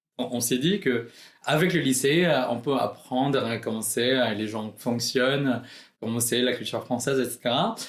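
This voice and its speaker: At a moderate pace, a man speaks at a medium pitch with ordinary variation. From Philippines. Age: 20s. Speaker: drag queen. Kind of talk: podcast interview. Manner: hesitant, many fillers.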